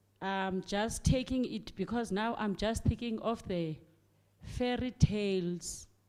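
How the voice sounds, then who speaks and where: With a South African accent, this voice has a dark, mellow tone and fairly even intonation. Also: woman. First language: Xhosa. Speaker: primary school teacher. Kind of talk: audience comment at book launch discussion. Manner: halting, many fillers and repetitions.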